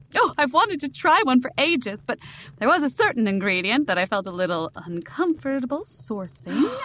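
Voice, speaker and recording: Over noticeable background noise, a woman with a high pitch talks at a fairly quick pace with very wide pitch swings. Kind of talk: horror-comedy audio drama. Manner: prim, elaborately formal, dryly arch.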